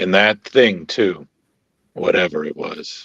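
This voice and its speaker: Putting on a raspy character voice, a man speaks at a fairly slow pace and a fairly low pitch. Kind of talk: comic book table read. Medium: read story. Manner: dry, gruff, understated.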